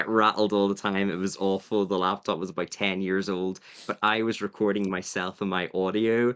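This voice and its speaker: Pausing hardly at all, a man with a fairly low pitch speaks in a monotone, flat intonation. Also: moderate pace, quiet background. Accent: Northern Irish. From Northern Ireland. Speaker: Survivor YouTuber. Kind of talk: podcast interview.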